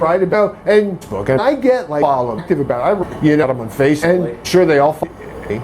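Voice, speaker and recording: The speaker talks at a very fast pace with lively intonation. Noticeable background noise runs underneath. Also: man, fairly high pitch for a man. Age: 60s. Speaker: harassment complainant. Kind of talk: casual chat. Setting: at home. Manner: halting.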